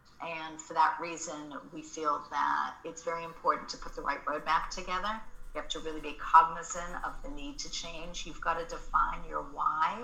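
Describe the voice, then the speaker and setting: A woman with an American accent at a moderate pace, hardly any pauses, big swings in loudness, and noticeable background noise. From Australia. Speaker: marketing agency founder and author. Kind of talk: casual interview chat.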